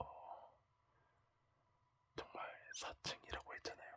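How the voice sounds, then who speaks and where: A man whispers at a very slow pace. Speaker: former army signal soldier. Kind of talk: ASMR talk. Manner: whispered.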